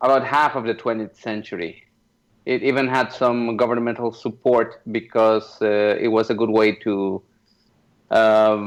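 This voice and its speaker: Over a quiet background, a man with a Spanish accent speaks at a fairly slow pace with fairly even intonation. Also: medium pitch for a man. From Mexico, Yucatan. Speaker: comic artist. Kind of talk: interview.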